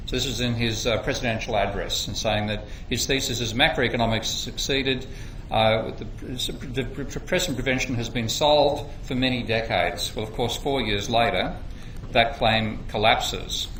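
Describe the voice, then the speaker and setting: Noticeable background noise and audible room echo surround a man with an Australian accent. His intonation is fairly even. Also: medium pitch for a man, moderate pace. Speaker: economics lecturer. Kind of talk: workshop lecture. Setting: workshop room with audience.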